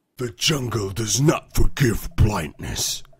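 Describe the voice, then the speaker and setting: A man in a put-on character voice at medium pitch and a fairly slow pace. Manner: in character, solemn.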